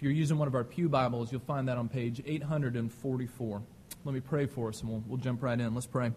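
A man's somewhat breathy, medium-pitched voice with fairly even intonation. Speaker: pastor. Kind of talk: sermon. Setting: church. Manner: fast.

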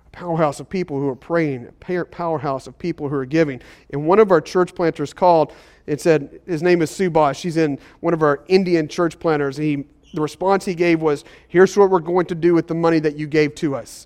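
Over a quiet background, a normal speaking voice moves at a fairly quick pace. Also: man, fairly high pitch for a man, fairly even intonation. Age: 40s. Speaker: pastor. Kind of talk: sermon. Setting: church service in a school.

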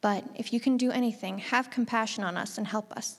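On a very clean recording with a silent background, a woman with an unremarkable speaking voice talks fairly quickly at a fairly high pitch, her intonation fairly even. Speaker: scripture reader. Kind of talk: scripture reading aloud.

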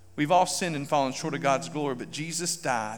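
A man talks at a fairly quick pace with a fairly high pitch. Audible room echo surrounds his voice. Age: 40s. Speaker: pastor. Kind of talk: sermon. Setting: church.

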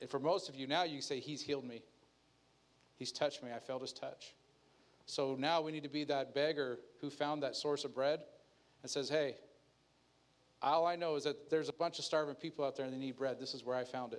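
A man at a fairly high pitch and fairly quick pace, fairly even intonation, and long, frequent pauses. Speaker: pastor. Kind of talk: sermon.

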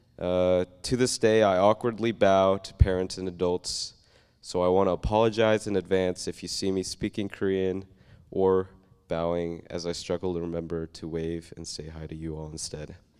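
On a very clean recording with a silent background, the voice moves at a moderate pace with fairly even intonation and big swings in loudness. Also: man, very deep, low pitch for a man. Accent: American. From Oklahoma. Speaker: church member. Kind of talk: testimony. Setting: church.

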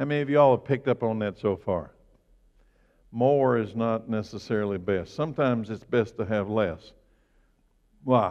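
A man with a medium-pitched voice speaks at a moderate pace, with ordinary pitch variation and long, frequent pauses. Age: 60s. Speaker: pastor. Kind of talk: sermon.

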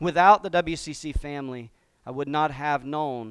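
Here is a man with an unremarkable speaking voice, pitched fairly high. He keeps a moderate pace and ordinary pitch variation on a very clean recording with a silent background. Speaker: pastor. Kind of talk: sermon. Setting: church.

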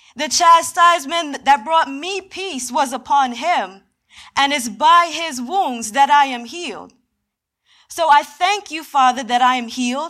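A woman's high, bright and sharp voice, raised and projected, animated in tone and fairly slow in pace. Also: ordinary pitch variation. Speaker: preacher. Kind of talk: sermon with spoken prayer; fervent prayer. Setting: church. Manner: earnest, solemn, pleading; animated, preacherly.

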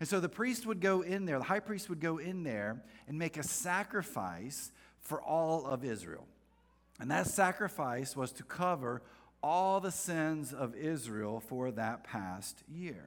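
With an American accent, a man talks fairly slowly at a fairly high pitch, his voice making very wide pitch swings. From North Carolina, US South. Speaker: pastor. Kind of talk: sermon. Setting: church with congregation. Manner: casual, conversational, humorous.

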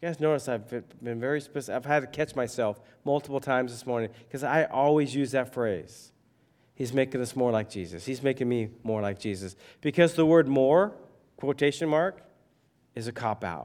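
A man talks at a fairly quick pace with a medium pitch. He has a plain, everyday voice. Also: ordinary pitch variation, very clean recording, silent background. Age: 50s. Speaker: pastor. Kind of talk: sermon. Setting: church. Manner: conversational.

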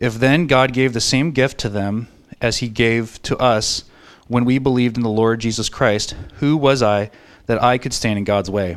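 In a very clean recording with a silent background, a man with an unremarkable speaking voice talks at a moderate pace, his medium pitch following a fairly even intonation. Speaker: scripture reader. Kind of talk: reading aloud. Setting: church.

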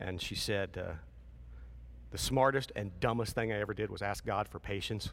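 Marked by vocal fry and an animated tone, the speaker moves at a moderate pace with ordinary pitch variation and long, frequent pauses. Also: man. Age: 50s. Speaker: pastor. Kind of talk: sermon. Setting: church.

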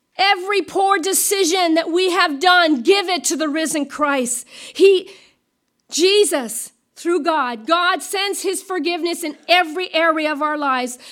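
A woman speaks at a fairly slow pace in an extremely high pitch, with ordinary pitch variation. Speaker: pastor. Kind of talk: sermon. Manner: loud.

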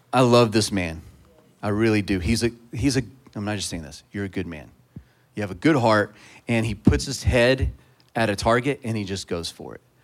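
Talking at a fairly quick pace with long, frequent pauses, a man with a fairly low pitch shows lively intonation and big swings in loudness. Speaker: pastor. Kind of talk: prayer and introduction. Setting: church.

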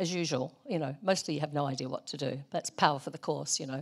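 A woman with a New Zealand accent on a very clean recording with a silent background. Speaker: missionary. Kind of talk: sermon. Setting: church.

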